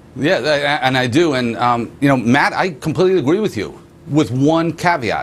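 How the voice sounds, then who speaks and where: At a moderate pace, a man with a fairly high pitch talks with lively intonation. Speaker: wealth manager. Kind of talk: TV interview. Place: studio. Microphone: lapel.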